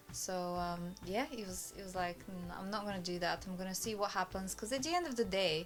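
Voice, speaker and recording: Music plays behind a woman with a Bulgarian accent. She talks fairly quickly, with hardly any pauses. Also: medium pitch for a woman, ordinary pitch variation. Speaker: immigrant interviewee. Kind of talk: casual interview chat.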